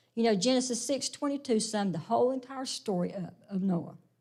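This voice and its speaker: A woman with a fairly high pitch and a somewhat breathy voice speaks at a moderate pace, her pitch varying in an ordinary way. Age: 60s. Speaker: Sunday school teacher. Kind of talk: sermon-style Bible lesson.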